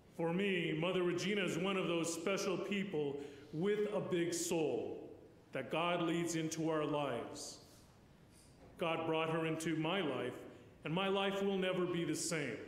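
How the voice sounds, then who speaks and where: In a room with audible echo, a man speaks at a fairly slow pace in a high voice with fairly even intonation. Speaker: priest giving eulogy. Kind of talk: eulogy. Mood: solemn, warm. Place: church. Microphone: podium.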